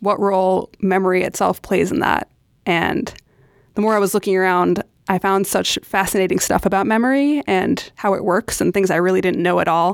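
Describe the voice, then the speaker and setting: A woman with an American accent and an ordinary speaking voice talks at a moderate pace, medium in pitch with ordinary pitch variation. The recording is very clean with a silent background, and the sound is dry and close with no echo. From New York City. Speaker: podcast curator and club chapter leader. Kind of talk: casual chat.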